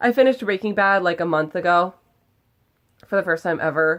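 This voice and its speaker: On a very clean recording with a silent background, a woman speaks at a medium pitch. Her tone is animated, with ordinary pitch variation. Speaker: video blogger. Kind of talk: casual vlog talk. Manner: loud.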